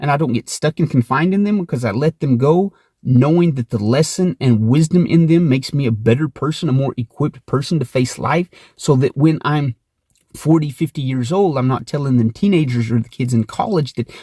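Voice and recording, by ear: A man speaks at a moderate pace and medium pitch, his tone dark and mellow with a slightly husky edge. Pitch varies in an ordinary way, and the sound is dry and close with no echo.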